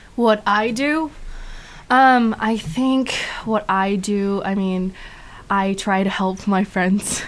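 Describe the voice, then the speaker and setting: Speaking very slowly with long, frequent pauses, a woman talks with a Chinese accent. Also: medium pitch for a woman, ordinary pitch variation. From China. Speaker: student photographer and actor. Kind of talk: casual interview. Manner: halting.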